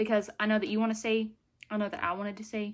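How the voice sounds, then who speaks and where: A woman speaks in a Southern US accent at a fairly high pitch. The recording is very clean, with a silent background. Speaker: beauty vlogger. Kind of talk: product review vlog. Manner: animated.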